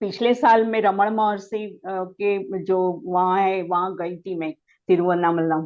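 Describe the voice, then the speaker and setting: A woman speaks in a Gujarati accent. She leaves hardly any pauses. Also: medium pitch for a woman, ordinary pitch variation. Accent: Gujarati-accented Hindi. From Gujarat, India. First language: Gujarati (speaking Hindi). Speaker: meditation practitioner. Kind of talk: testimony. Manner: halting.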